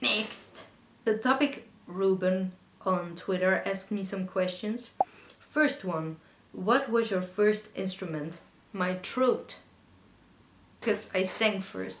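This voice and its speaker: Speaking with a Dutch accent at a very slow pace, a woman leaves long, frequent pauses, her medium-pitched voice showing ordinary pitch variation. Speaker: singer-songwriter YouTuber. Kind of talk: casual Q&A monologue. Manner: conversational, chatty.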